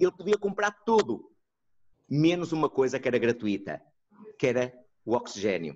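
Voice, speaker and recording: In a dry, close sound with no echo, a man swings very widely in pitch and leaves long, frequent pauses. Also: medium pitch for a man, moderate pace. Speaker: neuropsychologist. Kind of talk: online lecture and discussion. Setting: video call.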